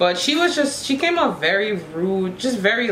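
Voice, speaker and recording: Moderate-paced speech from a woman, with audible room echo and light background noise. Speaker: beauty vlogger. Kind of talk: casual talk to camera. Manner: chatty. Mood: opinionated, mildly exasperated. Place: home room. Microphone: camera far.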